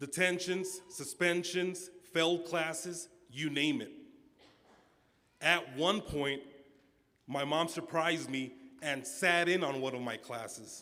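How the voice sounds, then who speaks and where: Through audible room echo, a man speaks at a very slow pace with long, frequent pauses. His high pitch carries a bright, sharp tone and ordinary pitch variation. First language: Spanish. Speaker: student commencement speaker. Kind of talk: commencement speech. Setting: auditorium stage with audience.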